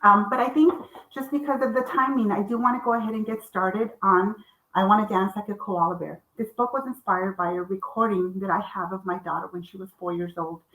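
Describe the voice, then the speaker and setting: In a Spanish accent, a woman talks at a fairly quick pace. Her pitch variation is ordinary. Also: medium pitch for a woman, big swings in loudness. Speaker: children's author and publisher. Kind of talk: author talk. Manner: halting, many fillers.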